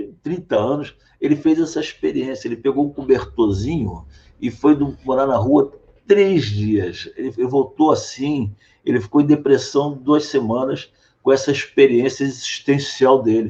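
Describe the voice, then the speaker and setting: Dark and mellow in tone, a man speaks fairly slowly with ordinary pitch variation. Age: 60s. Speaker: political candidate and physician. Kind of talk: interview.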